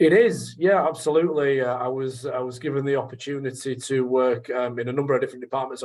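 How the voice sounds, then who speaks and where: A man speaks at a moderate pace with a northern English accent. His pitch sits in the medium range. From northern England, Leeds area. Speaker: sales trainer. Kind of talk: radio interview. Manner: hesitant, many fillers.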